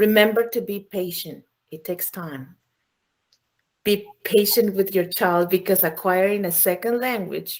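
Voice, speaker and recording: With a non-native accent, the voice shows ordinary pitch variation. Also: woman. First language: not English. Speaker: school staff presenter. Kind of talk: informational presentation.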